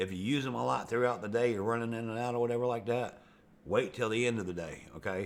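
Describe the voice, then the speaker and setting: A man talks at a very fast pace with a medium pitch and fairly even intonation. Audible room echo surrounds his voice. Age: 60s. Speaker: video blogger. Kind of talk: casual monologue. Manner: rambling, conversational with fillers.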